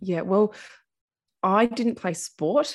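In a very clean recording with a silent background, a woman speaks with an Australian accent. Her pitch varies in an ordinary way. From Australia, central Victoria. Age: 40s. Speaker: podcast host, former drinker. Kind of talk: interview, personal story.

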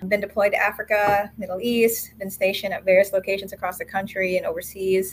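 A woman at medium pitch talks at a very fast pace with hardly any pauses. Her intonation stays monotone and flat. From Philippines. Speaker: air force captain. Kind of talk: casual interview chat.

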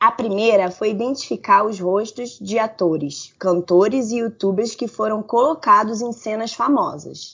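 A woman's normal speaking voice, at a fairly slow pace with hardly any pauses and ordinary pitch variation. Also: fairly high pitch for a woman. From Rio de Janeiro, Brazil. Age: 30s. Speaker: nurse and online game moderator. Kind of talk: news reading.

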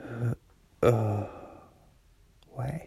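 Soft-spoken and somewhat breathy, a man talks at a medium pitch. His tone is dark and mellow. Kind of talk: casual chat. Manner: quiet, soft-spoken.

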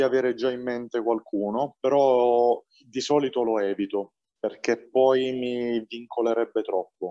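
In a dry, close recording with no echo, a man with a dark, mellow tone and medium pitch speaks at a fairly slow pace. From Apulia, southern Italy (Valenzano near Bari). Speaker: film director. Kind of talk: interview. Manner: animated.

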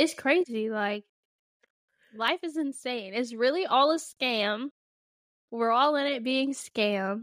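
A woman speaks in a high voice at a very slow pace, leaving long, frequent pauses. The sound is dry and close, with no echo. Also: ordinary pitch variation. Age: 20s. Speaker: podcast co-host. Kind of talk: casual chat. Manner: animated.

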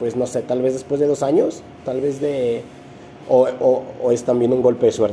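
A man with a Mexican accent, monotone and flat in intonation, over noticeable background noise. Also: medium pitch for a man, moderate pace. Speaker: podcast host. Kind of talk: podcast interview.

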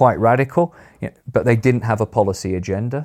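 A man with a Yorkshire accent and a dark, mellow tone, at a moderate pace with ordinary pitch variation, on a very clean recording with a silent background. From northern England, Sheffield. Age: 50s. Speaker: politics professor. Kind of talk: interview.

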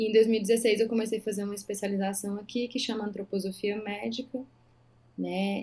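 Somewhat breathy and dark, mellow in tone, a woman speaks at a moderate pace in a medium pitch with monotone, flat intonation. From Brazil, Maranhão (Northeast), interior. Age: 30s. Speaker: physician. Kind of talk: casual interview chat.

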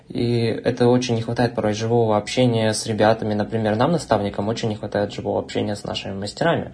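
At a very fast pace with hardly any pauses, a man talks at medium pitch with fairly even intonation. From Russia, Omsk. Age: young. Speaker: university student and online tutor. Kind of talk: casual chat.

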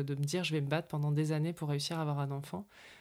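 A woman's very deep, low pitch on a very clean recording with a silent background. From northern France. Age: 40s. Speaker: communication consultant and podcast producer. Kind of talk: personal testimony.

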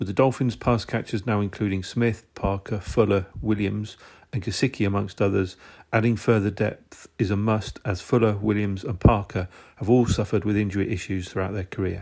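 A man with a British accent at a fairly quick pace, fairly low in pitch and fairly even in intonation, on a very clean recording with a silent background. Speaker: sports podcaster. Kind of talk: scripted read. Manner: formal.

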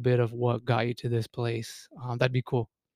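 In a dry, close sound with no echo, a man speaks at a medium pitch. His pace is moderate and his intonation flat and monotone. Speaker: podcast host, therapist. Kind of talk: casual interview. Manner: informal, filler-heavy.

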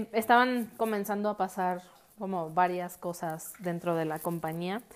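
An unremarkable speaking voice from a woman at a fairly slow pace, with ordinary pitch variation, on a very clean recording with a silent background. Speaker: podcast host and architect. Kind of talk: casual monologue.

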